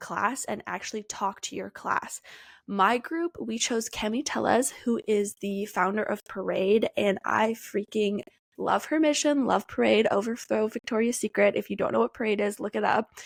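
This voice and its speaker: On a very clean, dry, close recording with no echo and a silent background, a woman with an American accent speaks at a moderate pace in a fairly high pitch, with ordinary pitch variation, an animated tone, and vocal fry. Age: 20s. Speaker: podcast host. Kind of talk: casual solo podcast talk.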